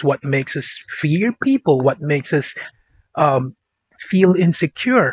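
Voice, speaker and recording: A man speaks with lively intonation in a provincial Filipino accent. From Philippines, born Vigan, raised Davao City. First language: Ilocano / Bisaya. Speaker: podcast host. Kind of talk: casual vlog monologue. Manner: animated; hesitant, with fillers and repetitions.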